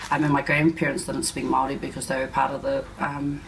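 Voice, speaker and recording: Someone talks at a very fast pace in a New Zealand accent. Noticeable background noise sits behind the voice. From West Auckland, New Zealand. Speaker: interviewee. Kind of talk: interview.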